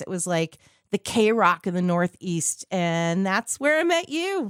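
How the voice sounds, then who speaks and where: A woman with a plain, everyday voice talks at a medium pitch and a moderate pace, her intonation lively. The sound is dry and close with no echo, in a very clean recording with a silent background. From Southern California, born in Queens. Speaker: radio host and voiceover artist. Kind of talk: casual chat.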